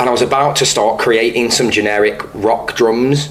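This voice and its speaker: Medium-pitched man with fairly even intonation, amid noticeable background noise. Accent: northern English. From northern England, Stoke. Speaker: musician. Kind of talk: interview. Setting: pub.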